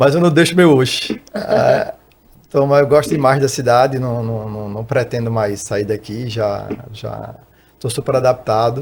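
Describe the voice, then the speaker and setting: This man talks at a fairly slow pace, with a medium pitch and ordinary pitch variation. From Recife, Pernambuco, northeast Brazil. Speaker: financial consultant and tax auditor. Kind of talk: podcast interview.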